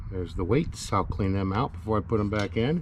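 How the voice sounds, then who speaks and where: Fairly low-pitched man at a moderate pace, with noticeable background noise. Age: 50s. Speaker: DIY mechanic video maker. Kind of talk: tutorial. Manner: casual.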